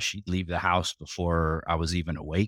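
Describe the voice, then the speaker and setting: Recorded very cleanly against a silent background, with a dry, close sound and no echo, a man speaks at a moderate pace. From New York (Sleepy Hollow), US. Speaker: network infrastructure executive. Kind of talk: interview.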